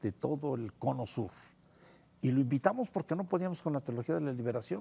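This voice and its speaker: The man's speech is full of very wide pitch swings. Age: 70s. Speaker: priest and theologian. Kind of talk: TV interview.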